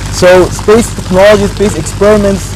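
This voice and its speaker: A man speaks with an Arabic accent. The sound is dry with no echo, and background noise is noticeable. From Egypt. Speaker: space scientist; TV guest. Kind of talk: interview. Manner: halting. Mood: calm, explanatory. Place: garden. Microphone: lapel.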